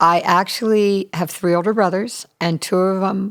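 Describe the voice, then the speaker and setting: Here is an unremarkable speaking voice from a woman with an American accent. Her pitch is medium and her intonation fairly even. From US South, Charleston, South Carolina. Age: 60s. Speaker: recording studio manager. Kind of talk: casual interview. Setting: podcast interview.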